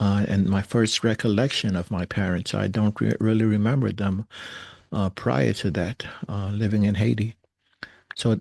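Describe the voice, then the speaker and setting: A man with a New York accent, fairly low in pitch, at a fairly slow pace with ordinary pitch variation, in a dry, close sound with no echo against a quiet background. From New York, Brooklyn. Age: 60s. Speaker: recovering alcoholic sharing story. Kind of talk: personal testimony. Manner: hesitant, many fillers.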